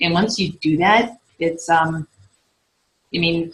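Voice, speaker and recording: A woman speaks in a fairly low pitch, somewhat breathy, with ordinary pitch variation. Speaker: fitness coach and team leader. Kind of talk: team training call. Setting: conference call. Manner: fast.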